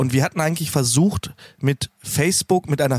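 Somewhat breathy and fairly high-pitched, a man speaks with ordinary pitch variation in a dry, close sound with no echo. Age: 30s. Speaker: heating installer and community founder. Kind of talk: casual interview.

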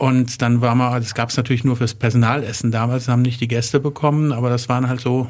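Here a man's voice sits at a medium pitch. He moves at a fairly quick pace. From Germany, Wertheim (northern Baden-Württemberg). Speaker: chef and catering business owner. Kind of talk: interview. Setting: studio.

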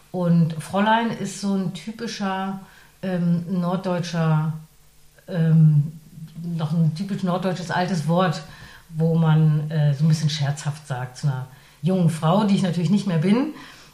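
Very slow and somewhat breathy, a woman speaks with a dark, mellow tone at a fairly low pitch, using ordinary pitch variation. Long pauses come often. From northern Germany. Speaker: radio presenter and voice artist. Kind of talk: interview. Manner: hesitant with frequent fillers.

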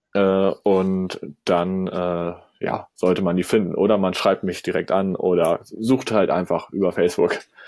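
Speaking at a fairly slow pace, a man with a very deep, low pitch keeps a monotone, flat intonation. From northern Germany, Kiel. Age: 20s. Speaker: social media manager. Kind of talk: podcast interview. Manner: hesitant, many filler sounds.

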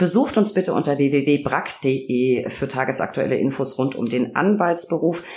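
Amid noticeable background noise, a woman speaks at a very deep, low pitch with ordinary pitch variation. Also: fairly slow pace. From Franconia, Germany. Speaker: podcast host, press spokesperson. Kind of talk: interview podcast.

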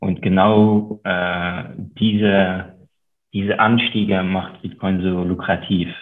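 A man talks very slowly in a very deep, low voice with a slight French accent. His intonation stays monotone and flat. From Luxembourg. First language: Luxembourgish (speaking German). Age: 30s. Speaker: investor and author. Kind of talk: interview.

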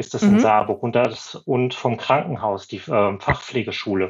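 This man has a normal speaking voice at medium pitch. He talks at a moderate pace. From Schleswig-Holstein, northern Germany. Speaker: former nurse, consultant. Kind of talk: podcast interview.

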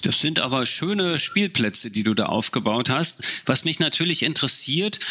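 A man is talking. Noticeable background noise runs behind him. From East Germany. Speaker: podcast host. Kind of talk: interview. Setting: virtual studio.

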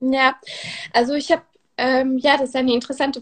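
This is a woman speaking. Her pitch is high. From Switzerland. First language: Swiss German and French (speaking German). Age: 20s. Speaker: brand manager, course participant. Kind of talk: interview. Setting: live online interview. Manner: hesitant, many fillers.

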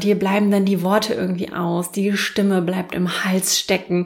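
A woman with a normal speaking voice talks at a medium pitch and a fairly slow pace. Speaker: podcast host and self-marketing coach. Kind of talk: solo podcast tutorial.

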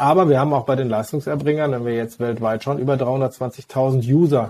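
Fairly quick and with fairly even intonation, a man speaks at medium pitch in a dark, mellow tone. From Westphalia, Germany (Hagen). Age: 40s. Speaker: physician and health-tech executive. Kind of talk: interview.

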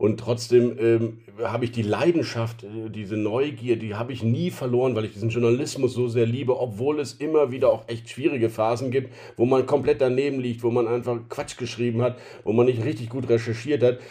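A man talks fairly quickly at medium pitch with fairly even intonation. His tone is dark, mellow and somewhat breathy. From Rhineland, Germany. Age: 40s. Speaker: newspaper editor-in-chief. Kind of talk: interview. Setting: home office.

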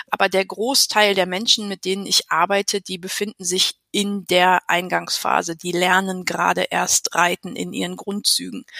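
A woman talks at a moderate pace with hardly any pauses. The sound is dry and close, with no echo. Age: 40s. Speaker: riding instructor and coach educator. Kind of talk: interview.

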